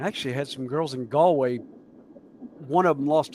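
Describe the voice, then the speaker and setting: A man with a Southern US accent speaks at a fairly quick pace, his pitch fairly high. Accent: southern US accent, noticeable. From US South (mountains). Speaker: model railway streamer. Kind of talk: casual chat. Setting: live stream.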